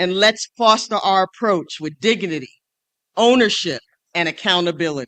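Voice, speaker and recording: Someone with an American accent speaks at a moderate pace. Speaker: state legislator, speaker. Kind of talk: conference speech. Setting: stage with audience.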